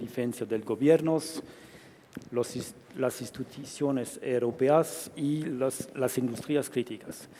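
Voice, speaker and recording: Speaking extremely slowly, a man keeps normal pitch movement while clear background noise sounds behind him. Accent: French. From France. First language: French (speaking Spanish). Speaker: aerospace sales director. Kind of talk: panel talk.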